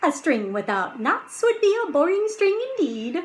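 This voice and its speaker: This put-on character voice moves through very wide pitch swings. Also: woman, extremely high pitch for a woman, moderate pace, very even loudness. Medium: read story. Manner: friendly, knowing.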